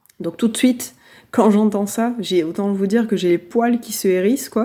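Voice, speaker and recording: On a very clean recording with a silent background, a woman speaks at a fairly slow pace in a dark, mellow tone with fairly even intonation. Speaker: spiritual coach. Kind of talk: motivational talk. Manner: calm, low energy.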